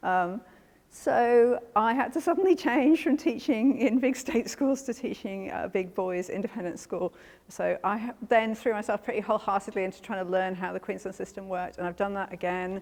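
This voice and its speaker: Her fairly high voice carrying lively intonation, a woman speaks with a British accent over noticeable background noise. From UK. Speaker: maths teacher. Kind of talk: workshop presentation. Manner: fast.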